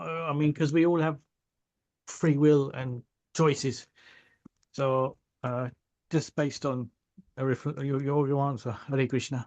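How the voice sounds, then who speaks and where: A man speaks at a fairly slow pace with long, frequent pauses. His pitch is fairly high and his intonation fairly even. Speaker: devotee asking a question. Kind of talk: religious Q&A. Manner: quiet.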